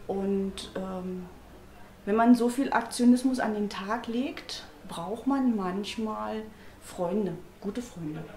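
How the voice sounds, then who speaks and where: A woman's very slow speech with long, frequent pauses and ordinary pitch variation, amid audible room echo and light background noise. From East Germany. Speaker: party member. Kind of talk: interview testimony. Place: home room. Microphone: lapel.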